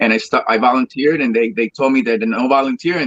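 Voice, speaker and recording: A man's bright, sharp, medium-pitched voice with a Spanish accent, lively intonation and a fairly quick pace, in a dry, close sound with no echo. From Colombia (Cali). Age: 30s. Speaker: salsa singer. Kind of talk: interview. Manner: halting.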